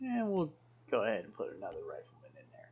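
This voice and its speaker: The speaker mumbles quietly. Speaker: game mod tutorial maker. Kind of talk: unedited screen-recorded tutorial. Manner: mumbling, quiet.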